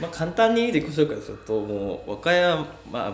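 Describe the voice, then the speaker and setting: A man's voice moves through very wide pitch swings. Audible room echo surrounds it. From Wakayama city, Japan. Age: 30s. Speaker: Instagram cafe influencer. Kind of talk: casual interview chat.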